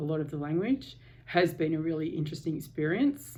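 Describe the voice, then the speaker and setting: Speaking at a fairly quick pace, a woman has a very deep, low pitch and a dark, mellow tone. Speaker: vlogger sharing a surgery experience. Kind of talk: personal video diary. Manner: hesitant, many fillers.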